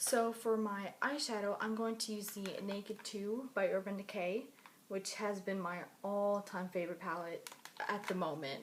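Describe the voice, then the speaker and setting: A woman at a moderate pace, medium in pitch with ordinary pitch variation, an ordinary speaking voice. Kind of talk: makeup tutorial, casual talk to camera. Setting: recorded late at night at home.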